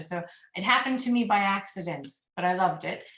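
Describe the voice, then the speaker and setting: A woman with an American accent talks at a fairly quick pace and medium pitch, with ordinary pitch variation and an ordinary speaking voice. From United States. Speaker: mediator. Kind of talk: panel presentation.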